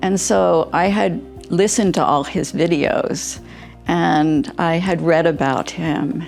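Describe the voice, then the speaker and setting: Music plays in the background while a woman talks. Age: 70s. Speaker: spine surgery patient. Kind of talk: patient testimonial interview answer.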